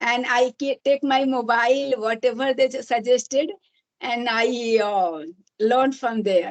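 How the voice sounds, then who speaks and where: A woman with an Indian accent, high in pitch with ordinary pitch variation, at a fairly slow pace. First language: Hindi. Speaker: English learner and YouTuber. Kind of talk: casual chat. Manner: halting.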